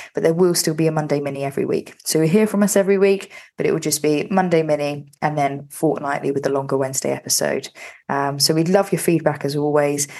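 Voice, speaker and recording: Speaking very fast in a London accent, a woman with a very deep, low pitch shows ordinary pitch variation. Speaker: podcast co-host. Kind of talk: casual chat.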